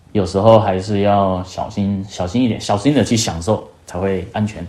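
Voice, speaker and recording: His voice sits at a fairly low pitch and keeps a fairly even intonation. It is an unremarkable speaking voice from a man. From Taiwan. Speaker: working holiday traveller. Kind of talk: casual chat.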